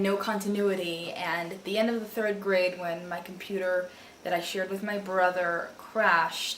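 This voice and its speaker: A woman of medium pitch at a fairly slow pace, with fairly even intonation and noticeable background noise. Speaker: booktuber, aspiring writer. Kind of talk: casual talk to camera.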